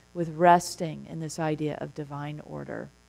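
The pace here is fairly slow. The speaker is a woman. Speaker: minister giving a talk. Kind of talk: sermon. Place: church.

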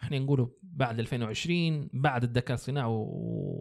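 The speaker talks at a fairly slow pace with ordinary pitch variation. The background is quiet. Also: man. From Libya. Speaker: graphic designer; podcast guest or host. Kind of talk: casual interview; interview answer. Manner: halting with many fillers. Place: studio. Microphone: studio mic.

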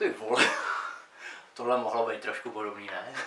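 Speaking at a medium pitch, a man puts on a character voice.

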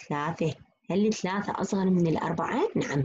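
A woman with a medium pitch talks at a fairly quick pace and sounds somewhat breathy. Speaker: university lecturer. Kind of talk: lecture.

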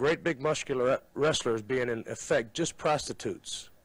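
A man with a fairly high pitch speaks with ordinary pitch variation in an ordinary speaking voice. The recording is very clean, with a silent background. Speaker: professional wrestler. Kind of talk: documentary presentation to camera. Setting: studio.

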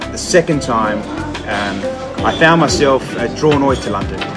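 Clear music plays behind a man as he talks. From Adelaide, South Australia. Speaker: chef and restaurant owner. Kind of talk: interview answer. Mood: calm, reflective. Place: cafe. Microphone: phone near.

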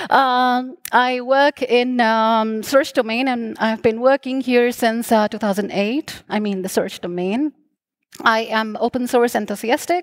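The woman's high voice moves at a very slow pace, with ordinary pitch variation. The background is quiet. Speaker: conference speaker. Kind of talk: conference talk. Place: stage. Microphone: headset.

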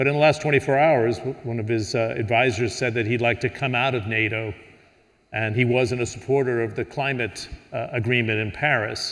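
This is a man with a normal speaking voice at a medium pitch, using fairly even intonation. He talks at a moderate pace against a quiet background. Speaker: panel moderator. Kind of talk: moderated panel discussion. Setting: stage with audience. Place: hall.

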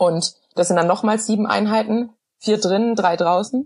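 A somewhat breathy woman's voice. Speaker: professional cyclist. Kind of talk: podcast interview answer.

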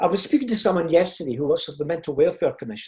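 A man with a Scottish accent speaks against a quiet background. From Scotland, Fife (Kirkcaldy); Scotland. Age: 70s. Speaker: motivational speaker. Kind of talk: motivational talk. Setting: video call. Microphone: video call.

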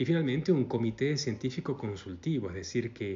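A man is speaking. His voice is somewhat breathy. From Argentina. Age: 40s. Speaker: network marketing recruiter; presenter. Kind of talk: sales pitch. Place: home room. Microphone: phone near.

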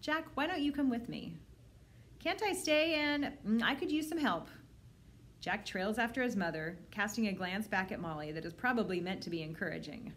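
A woman talks at a moderate pace. Her pitch swings very widely. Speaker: librarian. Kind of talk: children's book read-aloud. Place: home room. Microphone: phone near.

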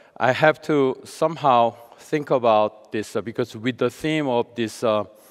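Music plays in the background as a man talks at a fairly slow pace with ordinary pitch variation. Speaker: keynote speaker, professor. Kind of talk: lecture. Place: stage. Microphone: headset.

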